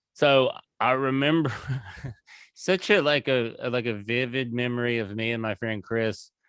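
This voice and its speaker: In a Southern US accent, a man speaks at a fairly slow pace in a medium pitch, the sound dry and close with no echo. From US South, rural Tennessee. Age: 40s. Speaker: comedian. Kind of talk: casual chat. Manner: animated.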